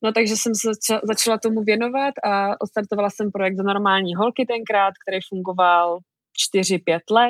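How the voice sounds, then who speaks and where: Delivered at a moderate pace with monotone, flat intonation, the voice sounds dry and close with no echo. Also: woman. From Czech Republic, small town near the German border. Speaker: author and online creator. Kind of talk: interview.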